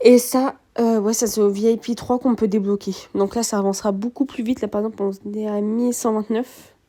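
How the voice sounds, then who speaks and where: With a dark, mellow tone, a woman speaks at fairly high pitch in monotone, flat intonation. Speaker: gaming youtuber. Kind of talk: gameplay commentary. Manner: hesitant, many fillers.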